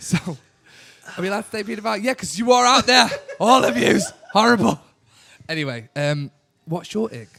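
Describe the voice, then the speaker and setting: A man speaks at a fairly quick pace in an animated tone, his high pitch swinging very widely. His raised, projected voice jumps sharply in loudness, broken by long, frequent pauses. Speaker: podcast host. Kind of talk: casual chat. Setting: bar.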